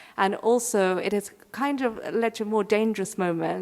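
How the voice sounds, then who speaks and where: Speaking in an English accent, a woman has a medium pitch and fairly even intonation. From England, London. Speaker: curator. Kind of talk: keynote lecture.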